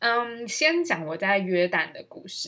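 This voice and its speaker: A woman talks at a very slow pace. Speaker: podcast host. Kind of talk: casual monologue. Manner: animated.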